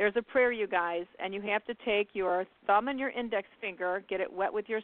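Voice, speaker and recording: A woman with a normal speaking voice in an American accent, medium pitch, fairly even intonation and a moderate pace. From US Midwest, Indiana. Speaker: psychic radio host. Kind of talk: call-in radio show.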